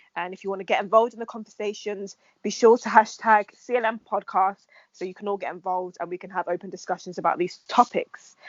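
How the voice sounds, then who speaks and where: The speaker talks at a very fast pace with a London accent. The intonation stays fairly even. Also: woman, medium pitch for a woman. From England. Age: 20s. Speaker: podcast host. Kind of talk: podcast intro; casual chat.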